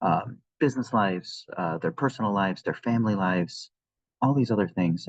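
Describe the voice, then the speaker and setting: A quiet man's voice, fairly low in pitch, with lively intonation and a fairly quick pace. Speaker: podcast host. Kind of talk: solo podcast talk. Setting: at work, in an open area. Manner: quiet, subdued.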